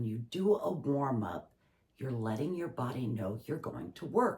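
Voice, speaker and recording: Her tone dark and mellow, a woman speaks with vocal fry and very wide pitch swings. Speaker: acting instructor and professional actor. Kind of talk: tutorial.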